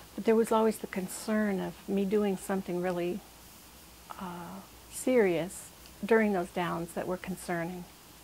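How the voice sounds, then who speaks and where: This woman has a normal speaking voice at a medium pitch. Her intonation is fairly even, and her pace is moderate. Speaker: patient. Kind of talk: testimony.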